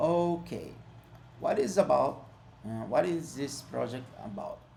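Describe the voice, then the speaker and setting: In a room with audible echo, a man with a non-native accent speaks at a fairly slow pace. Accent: non-native English, self-described imperfect. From Brazil. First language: Portuguese. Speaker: software developer. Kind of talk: tutorial. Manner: halting, with frequent fillers.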